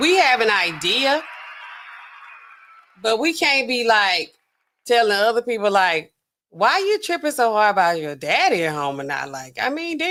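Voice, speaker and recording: With an American accent, a woman speaks at a fairly slow pace in an animated, bright and sharp tone, her fairly high pitch making very wide swings. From Louisiana. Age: 40s. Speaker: pharmacist livestream host. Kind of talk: casual reaction livestream commentary.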